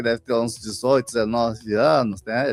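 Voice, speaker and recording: A man speaks at a moderate pace, the sound dry and close with no echo. Music plays in the background. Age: 60s. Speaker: social worker, activist. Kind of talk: radio interview. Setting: radio studio.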